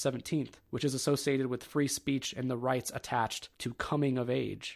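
A plain, everyday voice from a man with an American accent, medium pitch and fairly quick pace, on a very clean recording with a silent background. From Ohio. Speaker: podcast host. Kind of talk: solo monologue podcast. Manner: casual.

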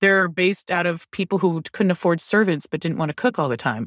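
In an ordinary speaking voice, a woman with an American accent talks at a fairly quick pace with a fairly low pitch and lively intonation. The sound is dry and close with no echo, a very clean recording with a silent background. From Maryland, Baltimore County. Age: 40s. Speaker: line cook and food writer. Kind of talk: casual chat.

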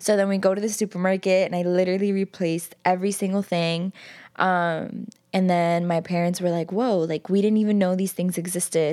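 On a very clean recording with a silent background, a woman with an American accent speaks fairly quickly at medium pitch in a dark, mellow tone and a monotone, flat intonation. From New York City (Queens). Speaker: vegan activist and community organizer. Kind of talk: interview. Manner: casual, many fillers.

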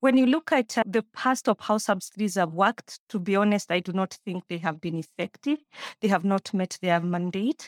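In an ordinary speaking voice, a woman talks at a moderate pace with lively intonation, on a very clean recording with a silent background and a dry, close sound with no echo. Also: medium pitch for a woman. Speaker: mathematics lecturer. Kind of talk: panel discussion.

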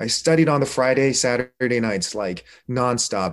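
A man speaks at a moderate pace in a normal speaking voice, medium in pitch, with an American accent. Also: quiet background. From Korea, raised in the United States. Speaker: emergency physician. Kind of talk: interview.

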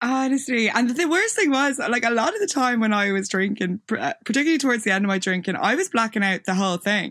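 A woman with an Irish accent talks very fast with hardly any pauses, her fairly high voice lively in intonation and very even in loudness. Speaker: photographer and videographer. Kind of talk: casual interview chat.

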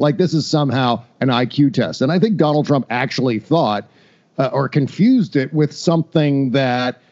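An ordinary speaking voice belongs to this man, who talks at a moderate pace with an American accent and ordinary pitch variation. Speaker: podcaster. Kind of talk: casual chat.

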